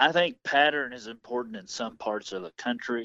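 A man with an American accent, speaking at a moderate pace. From US Midwest, Missouri. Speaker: hunter and outdoor YouTuber. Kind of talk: interview.

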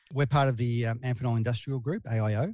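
Recorded very cleanly against a silent background, a man with an Australian accent speaks at medium pitch in a dark, mellow, somewhat breathy tone with ordinary pitch variation. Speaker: sales and marketing director. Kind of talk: interview. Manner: halting.

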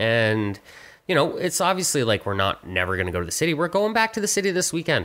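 With a Canadian accent, a man talks very fast in a bright, sharp, fairly high voice with vocal fry and very wide pitch swings. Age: 30s. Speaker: podcast co-host. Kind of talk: casual chat.

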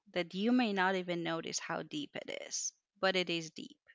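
With a Persian accent, a woman speaks at a medium pitch with ordinary pitch variation. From Iran, Mashhad. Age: 30s. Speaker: engineer. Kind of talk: interview conversation.

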